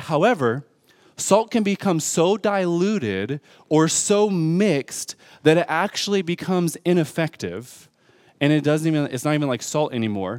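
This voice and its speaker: Lively intonation and a moderate pace mark this speaker with an American accent, recorded with a dry, close sound and no echo. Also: man. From Detroit, US Midwest. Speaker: pastor. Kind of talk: sermon. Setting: church.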